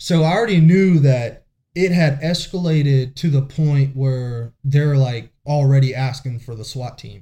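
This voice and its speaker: Somewhat breathy and dark, mellow in tone, a man talks at a fairly slow pace with hardly any pauses, his fairly high pitch showing ordinary variation. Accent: American. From US South, coastal South Carolina. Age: young. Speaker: police SWAT officer. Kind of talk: interview testimony.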